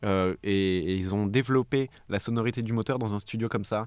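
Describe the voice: The tone is clear and smooth, slightly mellow as well. Delivery comes at a fairly quick pace with fairly even intonation. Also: man, fairly low pitch for a man.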